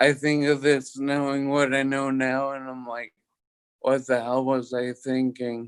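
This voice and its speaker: A man with an American accent speaks in a flat monotone. His pace is very slow. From US Northeast, Boston area. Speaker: locked-in syndrome survivor, former chef. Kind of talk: interview testimony. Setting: livestreamed video call.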